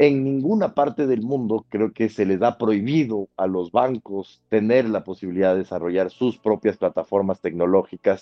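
A man speaks at a fairly low pitch with ordinary pitch variation. His pace is moderate, with hardly any pauses. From Ecuador, Quito. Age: 30s. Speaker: lawyer. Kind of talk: interview. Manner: halting, many fillers and repetitions.

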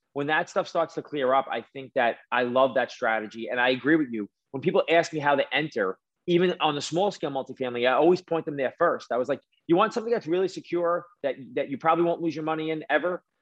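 Speaking very fast in a strong East Coast accent, a man uses a fairly high pitch with ordinary pitch variation. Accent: thick East Coast. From New York City. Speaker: mortgage lender and real estate investor. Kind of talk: podcast interview.

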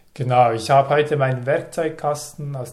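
Somewhat breathy, a man speaks at a fairly slow pace in a medium pitch with fairly even intonation. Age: 30s. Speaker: stutterer telling his story, environmental policy advisor. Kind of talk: interview testimony. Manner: fluent.

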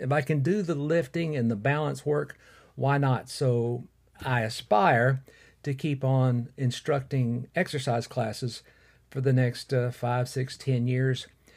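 Somewhat breathy delivery at a fairly slow pace, in a very clean recording with a silent background. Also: man. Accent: Alabama. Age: 60s. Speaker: podcast host and fitness instructor. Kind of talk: solo podcast monologue. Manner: casual with frequent fillers.

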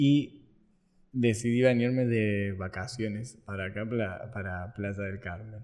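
A man with a normal speaking voice talks at a fairly low pitch and a fairly slow pace, with fairly even intonation and big swings in loudness. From Argentina, Córdoba. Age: 20s. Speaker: marketing entrepreneur. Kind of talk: casual interview.

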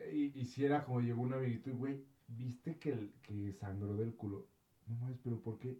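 A man talks in a somewhat breathy voice whose pitch moves in an ordinary way. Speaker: podcast co-host. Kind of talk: casual chat. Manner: animated.

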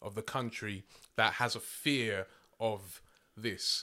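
In a London accent, a man speaks with a bright, sharp tone and fairly even intonation on a very clean recording with a silent background. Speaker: poet. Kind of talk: casual chat.

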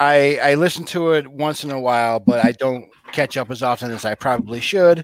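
A man with an unremarkable speaking voice, medium pitch, ordinary pitch variation and a fairly quick pace, in a dry, close sound with no echo. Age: 40s. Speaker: fill-in co-host. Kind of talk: casual chat.

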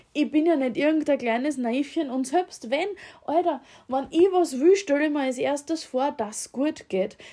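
Speaking at a moderate pace in an Austrian accent, a woman has a high pitch, a dark, mellow tone and ordinary pitch variation. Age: 30s. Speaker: podcast host. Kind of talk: casual monologue. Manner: halting, many fillers.

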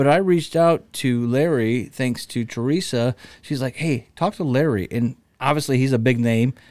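In a plain, everyday voice, a man with an American accent speaks at medium pitch and a moderate pace with ordinary pitch variation, on a very clean recording with a silent background. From Cedar Rapids, Iowa. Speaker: local community figure. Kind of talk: casual interview chat.

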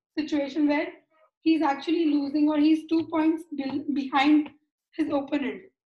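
A woman with an Indian accent speaks at a high pitch. Her intonation is monotone and flat. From Mumbai, India. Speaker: sports psychologist. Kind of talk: casual interview.

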